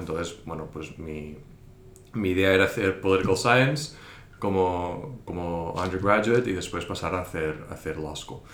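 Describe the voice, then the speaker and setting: A man with a very deep, low pitch speaks amid audible room echo and noticeable background noise. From Spain. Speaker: investor and investment teacher. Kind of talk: interview. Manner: hesitant, many fillers.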